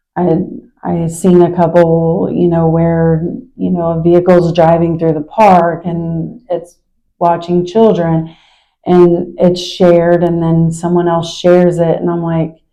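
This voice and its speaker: A woman with an American accent speaks at a fairly low pitch and fairly slow pace, her dark, mellow tone flat and monotone, with audible room echo. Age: 40s. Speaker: local resident. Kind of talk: interview.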